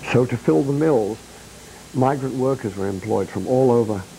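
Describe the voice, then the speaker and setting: A man's dark, mellow voice at a moderate pace, with ordinary pitch variation. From Bradford, Yorkshire, northern England. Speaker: singer-songwriter. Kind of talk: interview.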